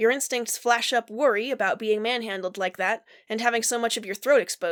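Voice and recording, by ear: The speaker's pitch varies in an ordinary way while reading aloud in a natural voice.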